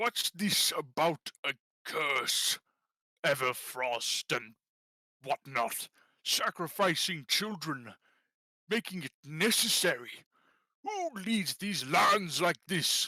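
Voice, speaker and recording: A put-on character voice at a middle pitch moves at a very slow pace, broken by long, frequent pauses. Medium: actual play. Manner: gruff, blustering.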